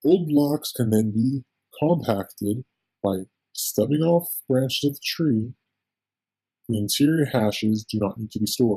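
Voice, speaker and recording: Speaking at a fairly slow pace with long, frequent pauses, a man has a medium pitch and a dark, mellow tone that is somewhat breathy. The sound is dry and close, with no echo. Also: ordinary pitch variation. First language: not English. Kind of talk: technical document reading. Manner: occasional stutters.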